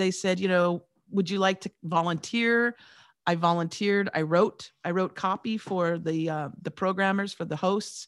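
In a plain, everyday voice, a woman talks at a moderate pace with fairly even intonation on a very clean recording with a silent background. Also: medium pitch for a woman. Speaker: radio personality and podcast coach. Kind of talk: podcast interview.

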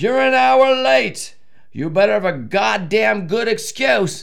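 Using a put-on character voice, a man speaks in a shrill, raised, projected voice at a high pitch, at a fairly slow pace with very wide pitch swings. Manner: screeching, furious.

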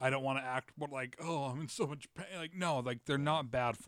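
A man's plain, everyday voice, fairly high-pitched, at a fairly quick pace with ordinary pitch variation, in a very clean recording with a silent background. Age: 30s. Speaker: podcast host and comedian. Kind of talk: casual chat.

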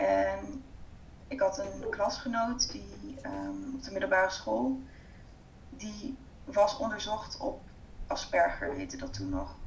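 Through audible room echo, a woman speaks at a very slow pace with long, frequent pauses and big swings in loudness. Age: 30s. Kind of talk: interview.

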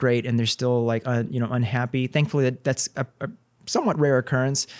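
A man at a medium pitch with ordinary pitch variation uses a plain, everyday voice, recorded very cleanly against a silent background with a dry, close sound and no echo. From Texas, Corpus Christi. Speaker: plastic surgeon. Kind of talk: casual interview.

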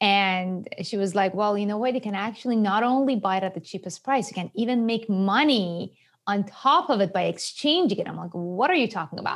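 In a Persian accent, a woman talks at a fairly quick pace with hardly any pauses, a medium pitch and ordinary pitch variation, on a very clean recording with a silent background. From Iran. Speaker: author and finance expert. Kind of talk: casual interview.

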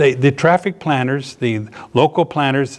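A man's normal speaking voice with an American accent, fairly high in pitch, with ordinary pitch variation and a quiet background. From US South, Norfolk, Virginia. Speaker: pastor. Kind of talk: sermon. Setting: live audience at a seniors ministry.

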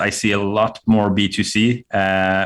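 In a Swedish accent, a man speaks at a fairly low pitch with monotone, flat intonation. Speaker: CTO of a marketing agency. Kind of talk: casual interview. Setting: remote call.

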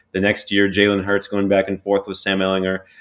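A man with a fairly low pitch talks very fast. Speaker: sports recruiting writer. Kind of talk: casual sports chat. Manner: excited.

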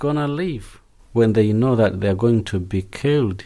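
In a very clean recording with a silent background, a man with a medium pitch and a dark, mellow tone speaks at a moderate pace with lively intonation. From Zimbabwe. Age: 20s. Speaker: failed asylum seeker. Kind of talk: testimony. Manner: halting.

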